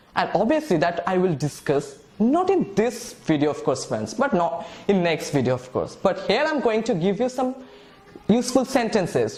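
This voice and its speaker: Speaking at a moderate pace, this voice makes very wide pitch swings against noticeable background noise. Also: man. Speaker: English teacher. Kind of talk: lecture. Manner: halting.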